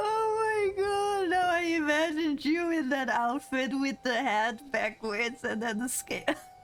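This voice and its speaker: A woman with a high pitch speaks fairly slowly with hardly any pauses, her pitch swinging very widely while her loudness stays very even. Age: 30s. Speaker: streamer. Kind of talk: casual chat. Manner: animated.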